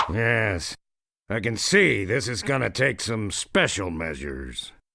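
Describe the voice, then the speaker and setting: Here is a put-on character voice, gruff and raspy, delivered at a fairly slow pace with very wide pitch swings. The recording is very clean, with a silent background. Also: man. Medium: video game. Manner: gruff, insulting.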